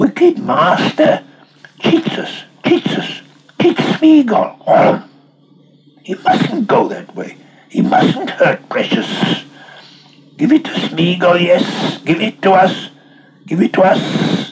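A man's whiny, hissing, put-on character voice at an extremely high pitch, with very wide pitch swings, a fairly slow pace and long, frequent pauses. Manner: hissing, sneaky, whining.

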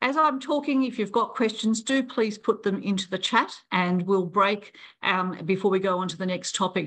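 With lively intonation and a bright, sharp tone, a woman speaks at a moderate pace. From Australia, Brisbane. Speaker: president of an international library association. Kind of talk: online town hall presentation. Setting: video call. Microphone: video call.

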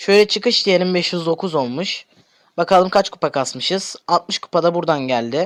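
This man's high-pitched voice rises and falls with ordinary pitch variation. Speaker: gaming youtuber. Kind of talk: gameplay commentary.

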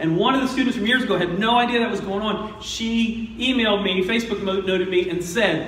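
A man speaks at a high pitch and moderate pace. His intonation is fairly even, with audible room echo. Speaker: pastor. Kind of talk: sermon. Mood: humorous, warm. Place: church.

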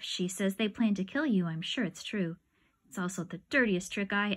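This natural reading voice rises and falls with ordinary pitch variation.

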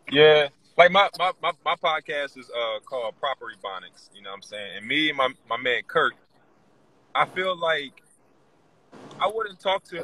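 A man speaks at a moderate pace, with a dry sound, no echo and light background noise. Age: 30s. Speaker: comedian and podcaster; comedian, podcaster. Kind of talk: casual chat. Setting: livestream video call. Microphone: phone near.

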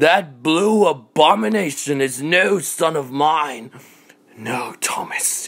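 At a very slow pace, a man with a fairly high pitch speaks using lively intonation. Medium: fan dub. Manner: outraged, then sneering and vengeful.

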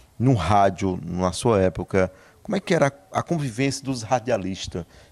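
Fairly slow and fairly low in pitch, a man talks with ordinary pitch variation. He has a normal speaking voice. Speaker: interviewer. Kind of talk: casual interview. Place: home room. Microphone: handheld.

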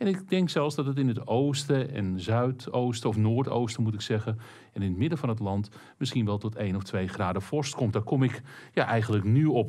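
A man speaks with lively intonation at a moderate pace, the background quiet. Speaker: presenter. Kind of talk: weather forecast commentary. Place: studio.

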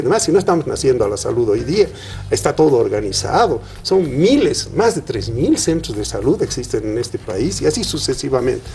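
Music plays behind a man's voice. He talks at a fairly quick pace with very wide pitch swings. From Bolivia. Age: 70s. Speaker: senator and physician. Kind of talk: TV interview. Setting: studio. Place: studio. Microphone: lapel.

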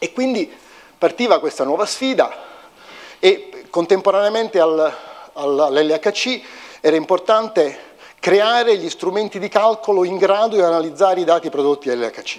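A man's high-pitched, lively delivery at a fairly slow pace, with long, frequent pauses and a quiet background. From Italy. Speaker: physics professor and CERN researcher; physicist giving public lecture. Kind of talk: public lecture. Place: hall.

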